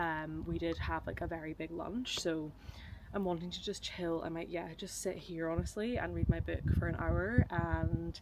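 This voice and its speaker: With a Scottish accent, a woman talks at a moderate pace over noticeable background noise. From Scotland. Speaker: travel vlogger. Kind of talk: vlog.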